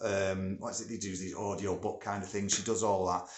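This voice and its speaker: A man with a northern English accent, with audible room echo around his voice. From northern England. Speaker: music producer and studio owner. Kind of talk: casual vlog talk. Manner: chatty, with many filler words.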